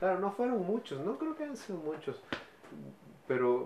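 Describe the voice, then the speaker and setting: A man talks as noticeable background noise carries on around him. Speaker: actor and musician. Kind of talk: interview.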